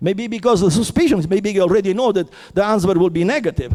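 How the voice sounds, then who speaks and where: Speaking at a fairly quick pace, a man talks in an Italian accent. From Italy. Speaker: theoretical physicist. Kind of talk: heated conference discussion. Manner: halting, many repetitions and false starts; impassioned.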